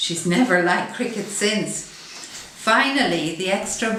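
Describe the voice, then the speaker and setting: With noticeable background noise behind her, a woman speaks at a fairly slow pace. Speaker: activist and author. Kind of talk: comic monologue performance.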